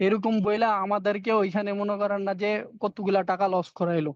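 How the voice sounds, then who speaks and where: In a dry, close sound with no echo and a quiet background, a man speaks at a high pitch. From Bangladesh, Chandpur. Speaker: migrant worker and online seller. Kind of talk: interview, personal story and advice.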